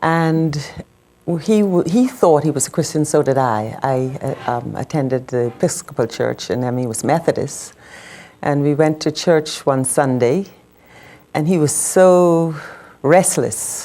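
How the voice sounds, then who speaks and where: A woman with a Bahamian accent, very deep and low in pitch, dark and mellow in tone, with lively intonation and long, frequent pauses. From Bahamas. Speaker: widow of a medical missionary, former nurse. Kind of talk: TV interview testimony.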